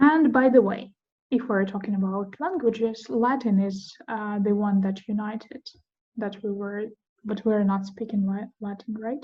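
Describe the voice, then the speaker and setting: In a Russian accent, a woman speaks with a fairly high pitch. Her pace is moderate and her pitch varies in an ordinary way. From Ukraine. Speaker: podcast host. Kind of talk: casual chat. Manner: halting.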